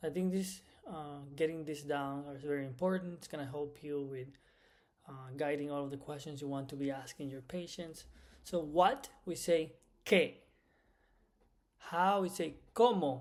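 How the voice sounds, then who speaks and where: A man's fairly high pitch, moderate pace, and ordinary pitch variation, with long, frequent pauses and big swings in loudness. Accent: Spanish. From Cuba. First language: Spanish. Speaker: medical Spanish instructor. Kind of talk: lecture. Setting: recorded lecture.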